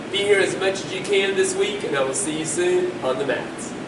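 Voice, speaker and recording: A man speaks with ordinary pitch variation while noticeable background noise runs underneath. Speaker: martial arts instructor. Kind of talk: announcement to students. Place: empty room. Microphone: camera far.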